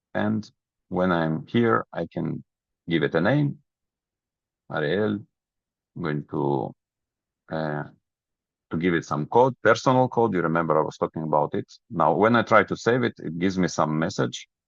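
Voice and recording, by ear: Over a dry, close sound with no echo, a man speaks at a moderate pace and low pitch, with vocal fry, lively intonation and long, frequent pauses.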